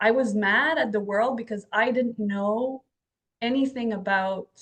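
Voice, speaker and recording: A woman in a French Canadian accent, her intonation fairly even. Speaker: podcast host and author. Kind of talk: interview conversation. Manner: halting.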